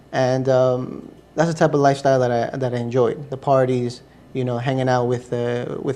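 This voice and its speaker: Flat, monotone intonation marks a man's medium-pitched speech, delivered at a moderate pace. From US, Ecuadorian family. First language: Spanish. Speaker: interview guest, convert to Islam. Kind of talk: interview testimony. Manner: hesitant, many fillers.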